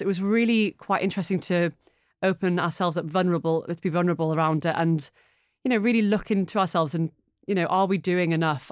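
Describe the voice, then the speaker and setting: Speaking at a very fast pace in a Geordie accent, a woman with a fairly low pitch keeps her intonation fairly even on a very clean recording with a silent background. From northeast England (Newcastle). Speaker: media client partner. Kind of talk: casual interview.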